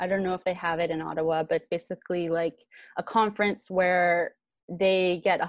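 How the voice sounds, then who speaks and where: A woman with a fairly low voice speaks at a moderate pace in a flat monotone. The sound is dry and close, with no echo. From Vancouver, East Van, Canada. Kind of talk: interview. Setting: online video live stream.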